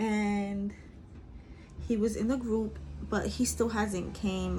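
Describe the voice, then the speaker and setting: A woman's medium-pitched voice in a New York accent, dark and mellow in tone and somewhat breathy. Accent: New York City. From Bronx, New York. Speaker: beauty vlogger. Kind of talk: casual storytime while doing makeup. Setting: at home. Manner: chatty, casual.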